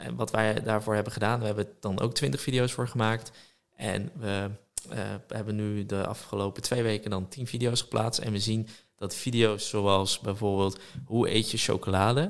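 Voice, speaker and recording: A man with a fairly low pitch and an ordinary speaking voice, fairly even intonation at a moderate pace, in a very clean recording with a silent background. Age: 20s. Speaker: social media entrepreneur. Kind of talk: casual chat.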